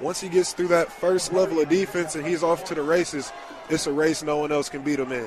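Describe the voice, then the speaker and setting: Over noticeable background noise, a man with an American accent speaks fairly quickly at a fairly high pitch, with ordinary pitch variation. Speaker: color commentator. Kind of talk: live football color analysis. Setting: stadium broadcast booth. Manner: enthusiastic, analytical.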